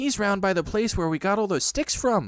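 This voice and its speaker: Putting on a high, squeaky character voice with a nervous tone, a man speaks at a moderate pace with lively intonation and very even loudness. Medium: read story. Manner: quick, nervous.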